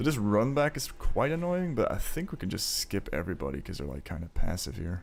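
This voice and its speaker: Here is a man at medium pitch, talking at a fairly quick pace with vocal fry. His pitch swings very widely. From Belgium. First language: not English. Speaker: gaming streamer. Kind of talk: casual live stream commentary while gaming. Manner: casual, filler-heavy.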